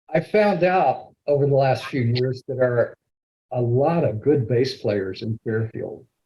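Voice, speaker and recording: A dark, mellow, somewhat breathy tone at a fairly slow pace with ordinary pitch variation. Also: man. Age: 70s. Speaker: Toastmasters club member giving a speech. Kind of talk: prepared speech.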